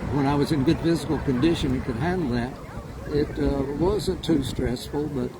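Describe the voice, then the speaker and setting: Through noticeable background noise, a man talks with a fairly high pitch. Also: ordinary pitch variation, moderate pace. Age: 80s+. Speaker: radio DJ. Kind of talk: casual interview. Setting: outdoors at a farmers market. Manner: halting, many fillers.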